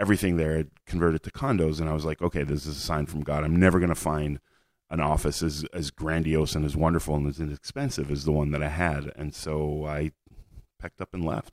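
On a very clean recording with a silent background and a dry, close sound with no echo, a man with a Montreal accent speaks very fast at a very deep, low pitch in a monotone, flat way. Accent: Canadian English, Montreal. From Canada, Montreal. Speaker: blogger. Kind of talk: interview conversation. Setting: in person, venue where they host Shabbat events. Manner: repetitive, halting starts.

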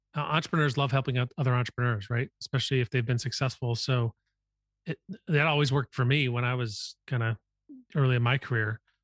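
Very fast, somewhat breathy speech with very even loudness, fairly even intonation, and a dry, close sound with no echo against a quiet background. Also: man, medium pitch for a man. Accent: American. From US Midwest. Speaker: podcast host and venture capitalist. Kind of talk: interview conversation.

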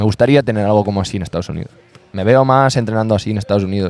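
A man's fairly low voice at a very fast pace. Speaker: basketball coach. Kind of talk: casual interview chat. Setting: outdoor basketball court.

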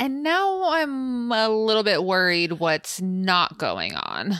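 The tone is animated, bright and sharp, and the intonation lively. The recording is very clean, its background silent. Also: woman. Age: 30s. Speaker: podcast co-host. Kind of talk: casual chat.

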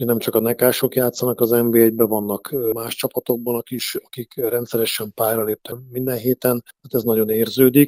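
In a dry, close sound with no echo, a man with a medium pitch and a dark, mellow tone talks at a moderate pace in a monotone, flat intonation with hardly any pauses. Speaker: national team coach. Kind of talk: radio interview.

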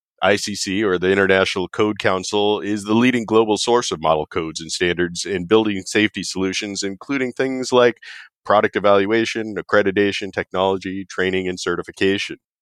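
A man's fairly low, fairly even voice at a fairly quick pace with hardly any pauses, in a dry, close sound with no echo against a quiet background. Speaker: industry executive. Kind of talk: interview, informative talk.

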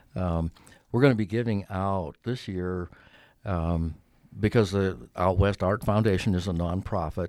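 Here a man with an American accent has a very deep, low pitch and a dark, mellow tone. His intonation is fairly even, and the recording is very clean with a silent background. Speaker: artist. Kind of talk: casual interview chat. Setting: studio. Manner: relaxed, hesitant, filler-heavy.

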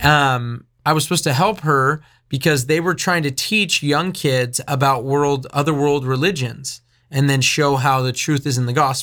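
The voice has a bright, sharp tone and very even loudness, on a very clean recording with a silent background. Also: man, fairly high pitch for a man. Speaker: radio host and ministry leader. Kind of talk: casual chat. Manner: fast talker.

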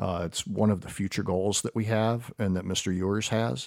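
An unremarkable speaking voice from a man, fairly low in pitch with ordinary pitch variation and a moderate pace, in a dry, close sound with no echo on a very clean recording with a silent background. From US Midwest, Perrysburg, Ohio. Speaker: school administrator. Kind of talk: interview.

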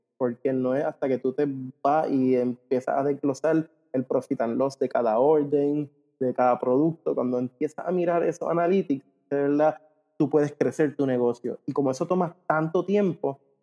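A man talks at a moderate pace in a fairly high pitch, with an unremarkable speaking voice. His intonation stays fairly even and his loudness very even. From Puerto Rico. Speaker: ecommerce company co-founder. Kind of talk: interview.

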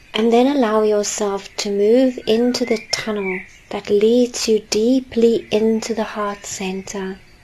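Speaking at a fairly slow pace with hardly any pauses, the voice has a calm, gentle tone and fairly even intonation over noticeable background noise. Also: woman, fairly high pitch for a woman. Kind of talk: guided meditation. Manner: slow, soft-spoken, soothing; calm, gentle, with long pauses.

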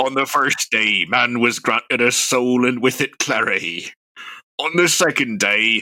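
In a put-on character voice with a theatrical tone, a man talks at a moderate pace and a medium pitch.

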